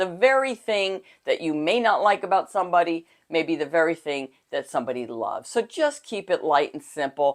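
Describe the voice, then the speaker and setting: Over a silent background in a very clean recording, a woman's fairly low pitch makes very wide swings at a fairly quick pace. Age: 60s. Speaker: dating coach. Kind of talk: casual talk to camera. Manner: halting.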